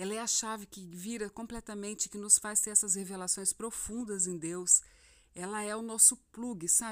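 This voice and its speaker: Recorded very cleanly against a silent background, a woman with a normal speaking voice talks at a medium pitch with fairly even intonation. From Brazil, Mato Grosso (Rondonópolis). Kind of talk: devotional talk. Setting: home recording at night. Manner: warm, informal.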